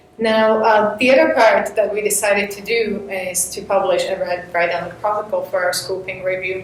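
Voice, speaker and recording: A woman speaks at medium pitch. Noticeable background noise and audible room echo come through. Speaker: postdoctoral researcher. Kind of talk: academic talk. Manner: fast.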